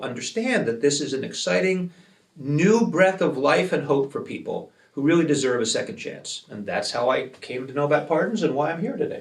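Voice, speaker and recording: Lively intonation and vocal fry mark this man's fairly high-pitched voice, delivered at a fairly quick pace. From Philadelphia, Pennsylvania, US. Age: 70s. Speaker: retired lawyer, nonprofit founder. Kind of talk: interview. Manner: conversational, with filler ums.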